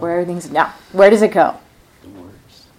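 Noticeable background noise runs under the recording. Over it, a woman talks at a fairly low pitch. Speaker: meditation teacher. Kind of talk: guided meditation and dharma talk. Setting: retreat center hall with audience. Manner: soft-spoken.

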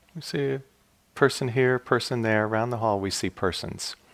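Here is a man with a plain, everyday voice. He speaks at a medium pitch with ordinary pitch variation. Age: 60s. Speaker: meditation teacher. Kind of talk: dharma talk. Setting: meditation hall at retreat.

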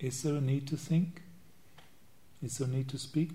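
The man's tone is dark and mellow, and his pace is fairly quick. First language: not English. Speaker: Buddhist monk and meditation teacher. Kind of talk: dharma talk. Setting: meditation retreat.

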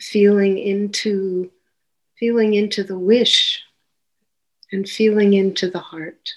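A woman speaks at a very slow pace with long, frequent pauses. Her intonation is monotone and flat. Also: medium pitch for a woman, big swings in loudness. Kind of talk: guided meditation. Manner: gentle, soothing, unhurried.

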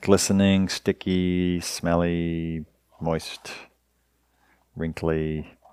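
In a very clean recording with a silent background, a man speaks in a relaxed tone at a very slow pace, monotone and flat, with long, frequent pauses. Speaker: meditation teacher. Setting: stage with audience. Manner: relaxed and hesitant, many 'uh' fillers and repeated words, laughs easily.

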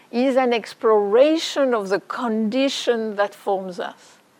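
A woman with a French accent. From France. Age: 60s. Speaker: meditation teacher. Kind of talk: dharma talk.

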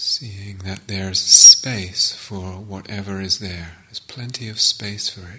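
With hardly any pauses, a man speaks at a very slow pace in a fairly low pitch and a soothing tone, his loudness swinging widely over noticeable background noise. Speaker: meditation teacher. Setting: meditation retreat hall. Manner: slow, sparse phrasing with long silences between short fragments; soft, soothing, repetitive cadence of gerunds.

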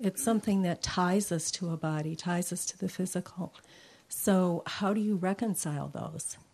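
Using a normal speaking voice, a woman talks fairly low in pitch and at a moderate pace. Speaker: retreat participant. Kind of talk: Q and A question.

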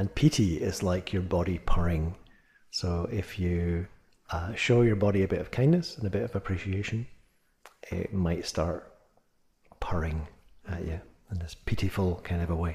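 A man talks at a moderate pace with long, frequent pauses, his very deep, low voice dark and mellow. He sounds somewhat breathy, with ordinary pitch variation. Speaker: meditation teacher. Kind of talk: guided meditation. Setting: retreat or meditation hall, addressing a group. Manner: casual, conversational, lightly humorous in the introduction.

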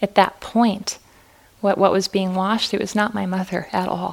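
A woman with an American accent, medium pitch, monotone, flat intonation and a moderate pace. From Fargo, North Dakota. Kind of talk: dharma talk. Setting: retreat center hall with audience.

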